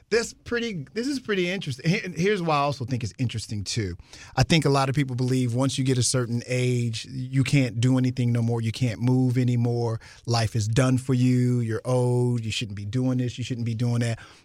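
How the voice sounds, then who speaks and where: A fairly quick pace with ordinary pitch variation. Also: man, medium pitch for a man. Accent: American. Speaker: radio host and rapper. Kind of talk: casual interview. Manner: animated.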